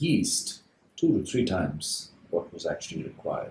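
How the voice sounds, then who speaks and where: A man is speaking. His pace is fairly slow. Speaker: baker. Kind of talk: lecture.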